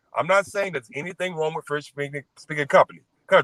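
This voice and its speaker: A man speaks in a fairly high pitch with a bright, sharp tone. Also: dry, close sound with no echo. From Mississippi, US South. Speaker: guest in online discussion. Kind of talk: live stream discussion.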